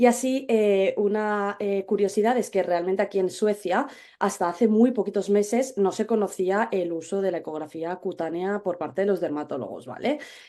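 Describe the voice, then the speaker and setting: Woman at medium pitch with a Spanish accent, dark and mellow in tone, moderate in pace, with ordinary pitch variation and hardly any pauses. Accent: Spanish (Spain). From Spain. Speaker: dermatologist. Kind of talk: webinar presentation. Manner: hesitant, many fillers.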